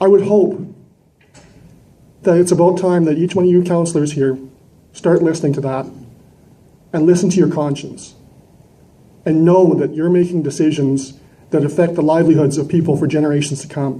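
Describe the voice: With long, frequent pauses and audible room echo, a man speaks at a moderate pace in a dark, mellow tone and fairly even intonation. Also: fairly high pitch for a man.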